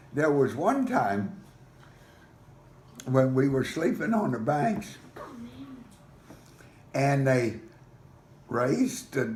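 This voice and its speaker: Noticeable background noise sits behind a man speaking at a very slow pace. His pitch is fairly high and his intonation lively. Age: 80s+. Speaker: storyteller grandfather.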